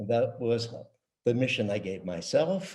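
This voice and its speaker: A man with an American accent, somewhat breathy with a dark, mellow tone, against a quiet background. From US West Coast, San Francisco. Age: 70s. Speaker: retired tech executive. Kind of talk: interview. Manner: halting.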